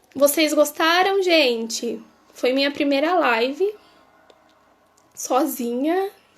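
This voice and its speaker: A woman's high voice at a very slow pace, with long, frequent pauses, ordinary pitch variation and music in the background. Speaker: reiki teacher. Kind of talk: live stream Q&A. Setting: live stream.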